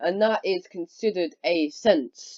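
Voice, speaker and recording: A woman's dark, mellow voice in a dry, close sound with no echo. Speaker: youtuber talking about philosophy. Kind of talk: casual monologue. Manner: loud; halting.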